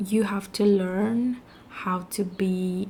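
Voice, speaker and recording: Somewhat breathy and dark, mellow in tone, the voice comes with a Spanish accent. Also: woman. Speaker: vlogger. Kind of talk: casual vlog monologue.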